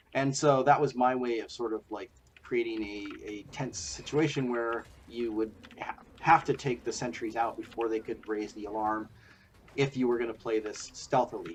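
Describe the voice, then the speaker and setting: A man speaks at a moderate pace. His pitch is medium, with ordinary variation. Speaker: game designer. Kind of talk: gameplay commentary. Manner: hesitant, casual.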